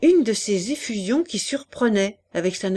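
The reading aloud is in a natural voice, and the intonation is lively.

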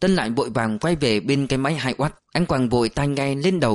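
This plain reading aloud carries a lively intonation from start to finish.

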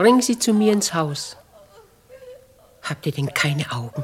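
Slow and low-pitched, a woman's put-on character voice has a slightly husky edge and big pitch swings.

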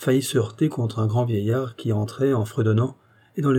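The text is being read aloud in a natural voice.

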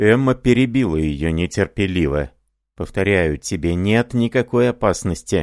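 The intonation is lively, in an unforced reading voice. Behind it, the background stays quiet.

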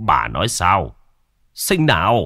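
Slow, put-on character voice with very wide pitch swings and a bright, sharp tone, on a very clean recording with a silent background. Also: man, low pitch for a man.

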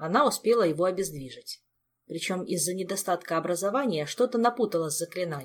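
The clip has a natural reading voice over a quiet background.

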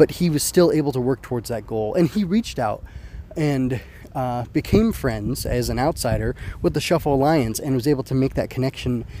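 Against noticeable background noise, a man talks at a fairly quick pace in a medium pitch, with ordinary pitch variation. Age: 30s. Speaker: anime podcaster. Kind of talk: solo commentary podcast. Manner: casual with many fillers.

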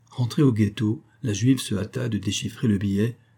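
The passage is read aloud plainly.

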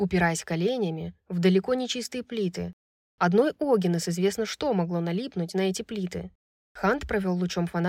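Over a quiet background, someone reads aloud plainly.

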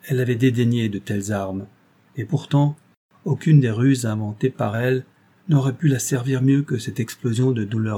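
The pitch rises and falls in an ordinary way during this plain reading aloud.

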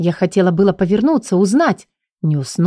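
Lively intonation in a plain read-aloud delivery, set in quiet surroundings

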